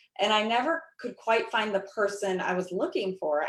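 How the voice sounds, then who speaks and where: A woman talks at a moderate pace and medium pitch. She uses a normal speaking voice. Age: 40s. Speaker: network marketing ambassador. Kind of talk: panel discussion.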